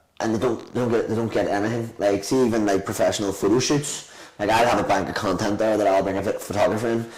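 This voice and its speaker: In a room with audible echo, a man with a Belfast accent speaks very fast at a fairly low pitch. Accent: Belfast Northern Irish. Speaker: restaurant owner. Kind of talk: casual chat. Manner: animated.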